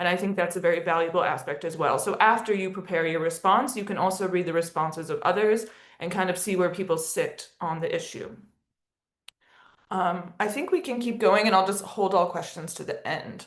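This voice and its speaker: Speaking at a fairly quick pace, a woman with an American accent has a normal speaking voice, a medium pitch, and ordinary pitch variation. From United States. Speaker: education and partnership lead at an advocacy organisation, webinar presenter. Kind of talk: webinar presentation. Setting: video call.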